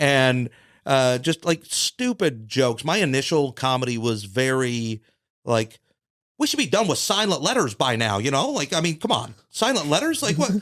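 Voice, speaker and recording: A man with a plain, everyday voice, fairly high pitch, lively intonation, very even loudness and a moderate pace. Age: 40s. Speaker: stand-up comedian. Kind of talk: casual chat.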